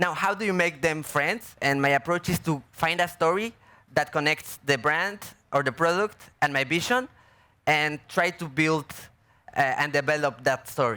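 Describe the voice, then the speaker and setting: Speaking at a moderate pace with a Mexican accent, a man has a fairly high pitch, ordinary pitch variation and a bright, sharp tone. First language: Spanish. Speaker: artist and filmmaker. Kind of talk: panel Q&A. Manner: halting.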